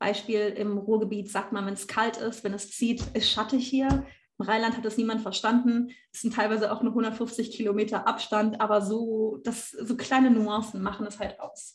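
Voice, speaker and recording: At a moderate pace, a woman with a fairly high, somewhat breathy voice speaks in a flat monotone with big swings in loudness. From Rhineland, Germany. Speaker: university student. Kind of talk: casual discussion.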